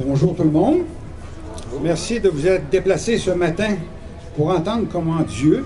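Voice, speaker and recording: Against noticeable background noise and audible room echo, a man speaks at a high pitch. He goes at a fairly slow pace with ordinary pitch variation. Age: 60s. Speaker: retired bus driver giving testimony. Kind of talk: testimony read from a text. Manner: reading aloud.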